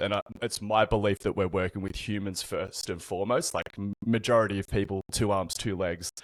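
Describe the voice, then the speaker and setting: On a very clean recording with a silent background and a dry, close sound with no echo, a man with an Australian accent speaks at a moderate pace and fairly low pitch. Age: 30s. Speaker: personal trainer. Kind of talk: podcast interview.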